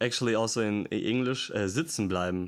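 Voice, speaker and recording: In a German accent, a man speaks at a fairly quick pace with a fairly low pitch. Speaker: language learner vlogger. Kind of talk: casual language practice. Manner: halting.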